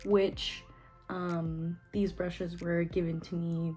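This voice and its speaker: With music in the background, a woman speaks at a fairly low pitch. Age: 20s. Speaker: beauty vlogger. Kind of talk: makeup tutorial talk to camera.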